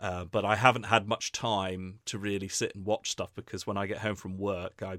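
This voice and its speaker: A man with an English accent, fairly low pitch, flat monotone delivery and a moderate pace, in a very clean, dry, close recording with a silent background and no echo. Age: 30s. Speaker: English teacher and video reviewer. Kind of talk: casual chat.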